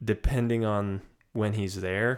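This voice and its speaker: The man speaks with a Californian accent. His intonation is fairly even. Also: very clean recording, silent background. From Sacramento, California. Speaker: podcast co-host. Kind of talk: casual chat.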